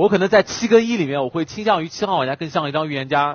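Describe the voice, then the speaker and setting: With lively intonation and a fairly high pitch, a man talks at a very fast pace. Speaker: werewolf game player. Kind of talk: game argument speech. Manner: emphatic. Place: studio. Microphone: headset.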